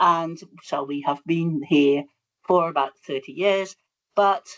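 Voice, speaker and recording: A woman with a Dutch accent speaks at a fairly slow pace. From Netherlands. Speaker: bee researcher. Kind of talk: lecture.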